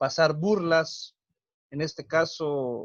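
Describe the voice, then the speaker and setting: A man with a high-pitched voice and a Mexican accent. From Mexico, Huasteca region of Hidalgo. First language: Nahuatl (speaking Spanish). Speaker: teacher and cultural promoter. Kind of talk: interview. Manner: hesitant, many fillers.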